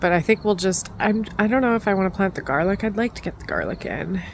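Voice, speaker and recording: A woman speaks in a dry sound with no echo. Light background noise is present. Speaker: gardening vlogger. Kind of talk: casual vlog chat. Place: garden. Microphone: phone near.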